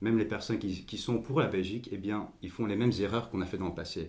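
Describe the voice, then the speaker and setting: Very fast, somewhat breathy speech from a man at a fairly low pitch, with ordinary pitch variation and audible room echo. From Belgium, Overijse near the language border. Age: 20s. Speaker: political party leader. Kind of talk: podcast interview. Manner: halting, many repetitions and fillers.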